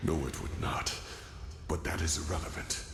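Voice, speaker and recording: A man's whispered, put-on character voice amid loud background noise and clear echo. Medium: video game. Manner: earnest, formal, urgent.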